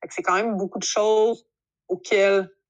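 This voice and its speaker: The speaker has a Quebec accent, and the background is quiet. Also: woman. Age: 30s. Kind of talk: casual chat. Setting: video call.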